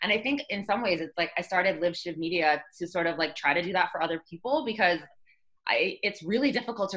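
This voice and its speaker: A woman with a Canadian accent and a normal speaking voice talks at a fairly quick pace, her pitch fairly low with ordinary variation. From Trinidad, moved to Canada as a child. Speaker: fashion model. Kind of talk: interview conversation.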